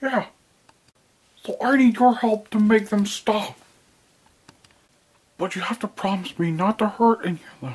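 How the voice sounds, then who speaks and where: A female-sounding cartoonish character voice, fairly high in pitch, moves at a moderate pace with long, frequent pauses. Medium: puppet show. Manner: touchy, sulky.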